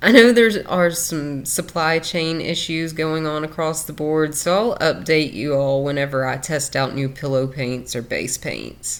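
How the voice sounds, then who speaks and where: At a fairly slow pace and with hardly any pauses, a woman with a Southern US accent speaks in a very deep, low voice with ordinary pitch variation. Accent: southern drawl. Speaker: fluid art creator. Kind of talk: tutorial. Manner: casual.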